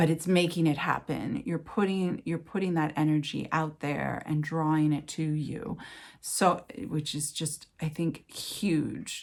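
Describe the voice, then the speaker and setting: At a fairly slow pace, a speaker with an American accent uses ordinary pitch variation in a very clean recording with a silent background. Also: woman, very deep, low pitch for a woman. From Los Angeles, California. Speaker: writer and writing teacher. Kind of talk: interview answer. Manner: conversational, reflective, with fillers.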